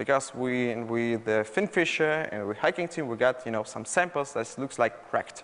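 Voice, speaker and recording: The speaker is a man with a Russian accent. His pitch is fairly high. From Russia, Moscow. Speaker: malware researcher. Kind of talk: conference talk. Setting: stage with audience. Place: hall.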